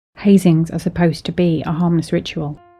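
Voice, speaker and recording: Speaking at a fairly slow pace over background music, a woman talks in a fairly low voice. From British. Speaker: storyteller. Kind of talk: horror story narration.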